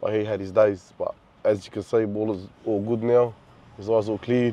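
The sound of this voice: A man speaks at a moderate pace in a fairly low pitch, with a dark, mellow tone and fairly even intonation.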